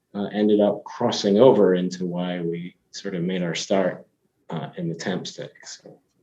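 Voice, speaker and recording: At a moderate pace, a man talks in a very deep, low pitch with a dark, mellow tone and big swings in loudness. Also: fairly even intonation. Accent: slight Scottish. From Scotland. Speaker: company CEO. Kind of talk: podcast interview. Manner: hesitant, many fillers and restarts.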